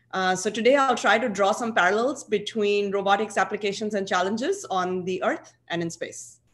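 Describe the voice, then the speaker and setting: A woman with a plain, everyday voice speaks at a medium pitch and a moderate pace. Her pitch varies in an ordinary way, and she hardly pauses. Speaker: aerospace engineer and researcher; conference presenter. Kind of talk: conference presentation. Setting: video call. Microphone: video call.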